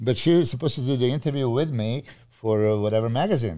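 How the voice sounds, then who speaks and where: Heard in a very clean recording with a silent background, a man with a Serbian accent speaks at a moderate pace in a dark, mellow tone. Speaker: bodybuilding coach. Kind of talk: casual chat.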